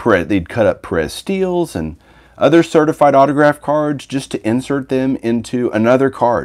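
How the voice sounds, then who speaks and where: This man talks at a moderate pace in a relaxed tone, at a medium pitch. His voice moves in very wide pitch swings against a quiet background. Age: 40s. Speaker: sports card collector YouTuber. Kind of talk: casual livestream chat. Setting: home livestream with mic. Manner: relaxed, conversational. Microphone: phone near.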